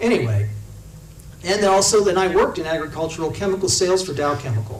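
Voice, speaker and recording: A man with a Midwestern US accent at a very fast pace, with audible room echo. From Indiana. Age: 60s. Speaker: congressional candidate. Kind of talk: campaign talk to a local meeting.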